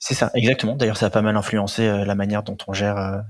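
A man at a fairly low pitch and fairly quick pace, on a very clean recording with a silent background. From Paris southern suburbs, France. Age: 20s. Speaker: startup founder and CEO. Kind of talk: interview.

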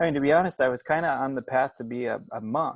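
Against a quiet background, the voice comes through in an American accent. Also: man. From US Midwest, Springfield, Illinois. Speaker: travel instructor and farmer. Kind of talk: casual interview.

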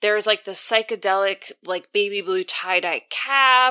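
An animated voice moves at a moderate pace with ordinary pitch variation, recorded dry and close with no echo. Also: woman. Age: 30s. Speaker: podcast co-host. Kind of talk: casual chat.

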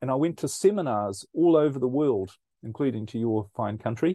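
In a New Zealand accent, a man speaks with a dark, mellow tone. His pace is fairly quick over a quiet background. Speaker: speaker and researcher. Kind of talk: casual interview chat.

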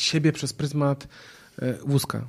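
Very slow male speech with fairly even intonation. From northern Poland, Gdańsk area. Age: 30s. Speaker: entrepreneur and public speaker. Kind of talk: casual interview. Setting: outdoor studio.

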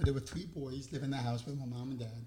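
Somewhat breathy and dark and mellow in tone, a man speaks in a medium pitch with a New York accent. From New York, Long Island. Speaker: housing program advocate. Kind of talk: interview.

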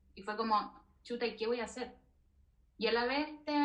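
A woman with a Chilean accent, high-pitched, at a moderate pace and with fairly even intonation. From southern Chile. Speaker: veterinarian and researcher. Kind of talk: interview.

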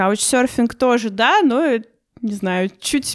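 A woman talks with ordinary pitch variation. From Russia. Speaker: online dating expert. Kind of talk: casual interview for language learners. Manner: hesitant, many fillers.

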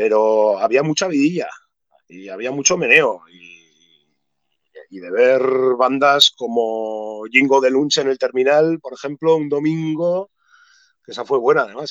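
With a plain, everyday voice, a man talks at a moderate pace and a fairly high pitch, showing ordinary pitch variation and big swings in loudness. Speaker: musician and skater. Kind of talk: casual interview chat.

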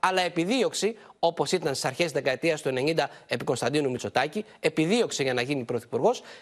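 A man talks at a moderate pace with lively intonation against a quiet background. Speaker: political reporter. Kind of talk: news report.

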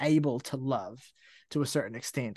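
A man with a New Zealand accent, moderate pace, ordinary pitch variation and a quiet background. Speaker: music podcast co-host. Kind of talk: casual chat.

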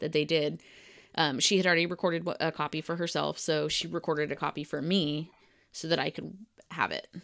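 A woman's very deep, low voice with vocal fry and a flat, monotone delivery, in a very clean recording with a silent background. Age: 30s. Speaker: podcast co-host. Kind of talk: casual chat.

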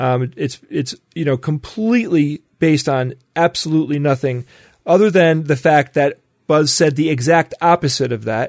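Pitch variation here is ordinary, and the pace is moderate. It is an ordinary speaking voice. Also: man, fairly high pitch for a man. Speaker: podcast co-host. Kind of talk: casual chat.

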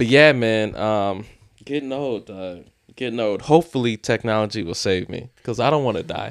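In a very clean recording with a silent background, a man with an unremarkable speaking voice talks at a moderate pace, medium in pitch with ordinary variation. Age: 20s. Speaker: podcast co-host. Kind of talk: casual chat.

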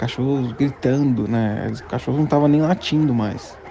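Over noticeable background noise, a fairly high-pitched man speaks at a fairly slow pace. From São Paulo, Brazil. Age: 30s. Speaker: listener. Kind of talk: recorded personal story. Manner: halting.

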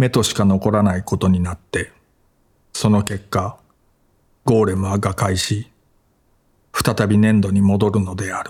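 A man speaks fairly slowly at a fairly low pitch, his voice somewhat breathy. His intonation stays monotone and flat, broken by long, frequent pauses. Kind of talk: audiobook reading of literary essay. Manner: even, measured, calm narrating pace.

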